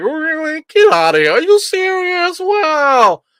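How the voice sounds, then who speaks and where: Fairly slow delivery from a man in a put-on character voice, pitched extremely high. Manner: incredulous.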